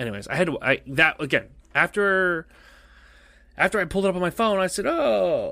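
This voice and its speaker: A man speaks in a raised, projected voice with a high pitch and a bright, sharp tone, recorded very cleanly against a silent background. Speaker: podcast host. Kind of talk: casual chat. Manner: animated.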